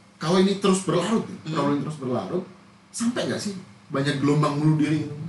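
A man talks at a very fast pace with a fairly high pitch and lively intonation, amid noticeable background noise and audible room echo. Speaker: podcast host. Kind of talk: casual chat.

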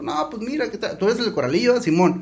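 The man speaking has a high pitch. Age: 40s. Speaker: entrepreneur, restaurant owner. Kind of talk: casual chat.

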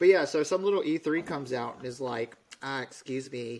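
Moderate pace, medium pitch and ordinary pitch variation from a man with a plain, everyday voice. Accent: American. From Alabama, US South. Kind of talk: casual chat, storytelling.

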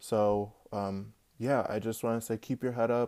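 A man speaks in a dark, mellow tone with fairly even intonation. The recording is very clean, with a silent background. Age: 20s. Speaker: solo podcaster. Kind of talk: personal monologue. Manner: casual, filler-heavy.

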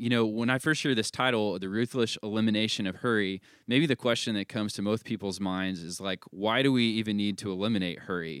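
In an unremarkable speaking voice, a man talks at a fairly quick pace with a fairly low pitch, ordinary pitch variation and hardly any pauses. The recording is very clean, with a silent background and a dry, close sound with no echo. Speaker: podcast host. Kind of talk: casual discussion podcast.

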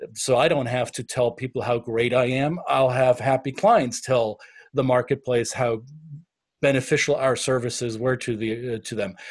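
A man's medium-pitched voice in a German accent, moderately paced with fairly even intonation, on a very clean recording with a silent background. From Bavaria, Germany. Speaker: business consultant. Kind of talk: podcast interview.

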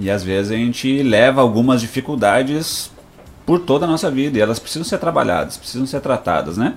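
In a plain, everyday voice, a man speaks at a medium pitch and a fairly quick pace with lively intonation, on a very clean recording with a silent background. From Rio Grande do Sul, Brazil (Passo Fundo). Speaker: pastor and psychoanalyst. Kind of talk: radio interview with sermon-style message. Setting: radio studio.

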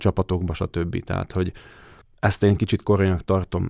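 On a very clean recording with a silent background and a dry, close sound with no echo, a man speaks in a dark, mellow tone at a very deep, low pitch. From southern Slovakia, Hungarian minority. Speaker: goalkeeping coach, former goalkeeper. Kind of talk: interview answers. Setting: studio. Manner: halting, hesitant.

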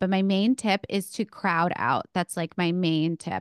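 A woman's plain, everyday voice at a medium pitch, with a moderate pace, fairly even intonation and a dry, close sound with no echo against a quiet background. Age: 30s. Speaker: speech pathologist and run coach. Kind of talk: interview.

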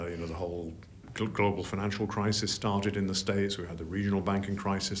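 Audible room echo carries a man with a Yorkshire accent whose fairly low voice stays monotone and flat. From Yorkshire, northern England. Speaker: investment strategist. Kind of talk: interview. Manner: halting.

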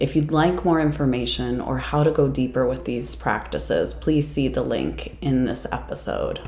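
With noticeable background noise around her, a woman speaks with hardly any pauses. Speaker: psychic medium. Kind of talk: guided meditation. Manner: slow, soothing, calm; gentle, unhurried with pauses.

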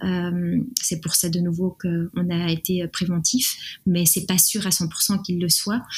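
Somewhat breathy, a woman speaks in a monotone with flat intonation. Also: fairly low pitch for a woman. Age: 30s. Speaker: art director sharing a fertility story. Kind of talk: personal testimony interview. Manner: hesitant, many fillers.

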